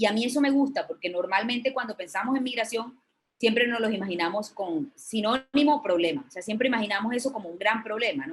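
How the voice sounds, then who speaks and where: A somewhat breathy woman speaks at a very fast pace. Her pitch is fairly high and her intonation is lively. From Colombia. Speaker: journalist. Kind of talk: lecture. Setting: video call. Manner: hesitant with fillers.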